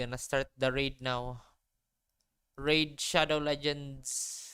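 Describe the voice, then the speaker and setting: Someone speaks very slowly with a Filipino accent. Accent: sounds familiar (Filipino). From Philippines. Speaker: vtuber streamer. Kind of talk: casual live stream chat.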